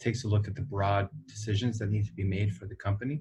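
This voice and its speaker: This man has a dark, mellow tone and a fairly low pitch, slightly breathy. The background is quiet. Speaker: company executive. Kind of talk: interview. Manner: hesitant, many fillers.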